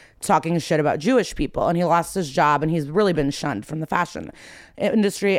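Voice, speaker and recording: A woman with a Midwestern American accent speaks at a fairly quick pace, her pitch fairly low and her pitch variation ordinary. The recording is very clean, with a silent background. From US Midwest. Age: 30s. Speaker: comedian. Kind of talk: casual chat.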